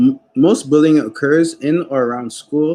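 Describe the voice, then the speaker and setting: Intonation rises and falls in a lively way. The voice carries a dark, mellow tone. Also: man. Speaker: youth program coordinator hosting cooking show. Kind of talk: cooking tutorial with informational talk. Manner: halting, with self-corrections.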